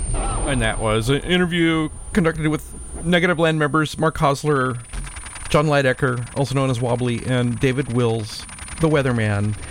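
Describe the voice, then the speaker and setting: Noticeable background noise sits behind a man speaking in a playful tone at a moderate pace. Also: medium pitch for a man, ordinary pitch variation. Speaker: radio host. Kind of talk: radio show hosting over a video call, casual chat. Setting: home studio, video call. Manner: easygoing, chatty, playful.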